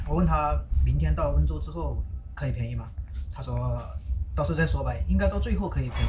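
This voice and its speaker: A man talks very fast with music playing behind him. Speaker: travel vlogger. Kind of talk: casual vlog chat. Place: train. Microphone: phone near.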